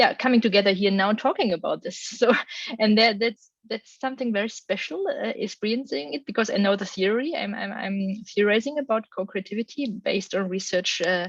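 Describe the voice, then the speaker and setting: In a German accent, a woman talks at a fairly quick pace with hardly any pauses, her fairly high pitch showing ordinary variation. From Germany. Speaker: academic researcher. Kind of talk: panel discussion.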